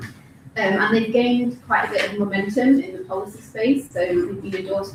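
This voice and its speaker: Noticeable background noise and audible room echo accompany the woman who is speaking. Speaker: researcher at a development institute. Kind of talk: conference talk.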